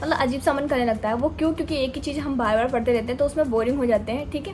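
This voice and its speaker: Music plays behind a woman with a high pitch. Her pitch varies in an ordinary way. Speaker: UPSC aspirant vlogger. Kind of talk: casual vlog talk. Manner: speaking louder than usual; hesitant fillers.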